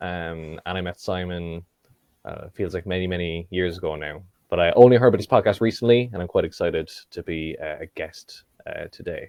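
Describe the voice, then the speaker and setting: An Irish accent marks this man's fairly quick speech. His loudness swings widely. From Ireland, Cork. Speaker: podcast guest. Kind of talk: casual chat.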